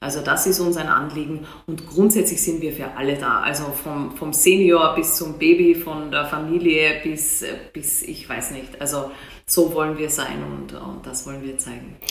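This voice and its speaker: Against noticeable background noise and audible room echo, a woman with an Austrian accent speaks at a moderate pace in a very deep, low pitch, her intonation fairly even and her loudness swinging widely. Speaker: museum director. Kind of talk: interview. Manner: hesitant, with many fillers and repetitions.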